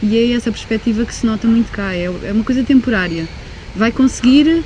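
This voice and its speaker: Over noticeable background noise, a woman with a fairly high pitch speaks at a fairly quick pace with lively intonation and long, frequent pauses. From Macau and Portugal. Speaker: pharmacist job seeker. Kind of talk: interview.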